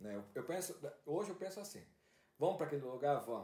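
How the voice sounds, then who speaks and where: Here a man talks with lively intonation. His pitch is fairly high. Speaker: podcast host. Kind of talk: casual chat. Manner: halting.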